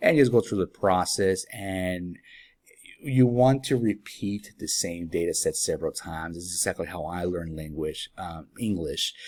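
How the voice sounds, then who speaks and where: In a Spanish accent, a man with a very deep, low pitch speaks at moderate pace with ordinary pitch variation and big swings in loudness, recorded very cleanly against a silent background. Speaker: app developer. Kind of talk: software tutorial. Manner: casual with many fillers.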